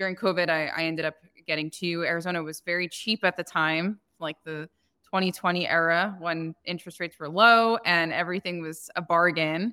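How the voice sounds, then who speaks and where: This woman has a plain, everyday voice, pitched fairly low. Her intonation is fairly even and her pace fairly quick. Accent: American. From New Jersey, US. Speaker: short-term rental business owner. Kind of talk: podcast interview.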